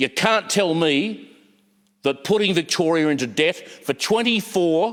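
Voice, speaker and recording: With an Australian accent, a man speaks very slowly at a high pitch, his pitch swinging very widely. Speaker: politician. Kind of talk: parliamentary speech. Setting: parliament chamber. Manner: halting; impassioned.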